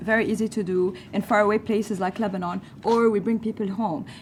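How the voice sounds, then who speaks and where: A woman with a fairly high pitch talks at a very fast pace in a somewhat breathy voice. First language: not English. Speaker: panelist, refugee advocate. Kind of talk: panel debate. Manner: animated.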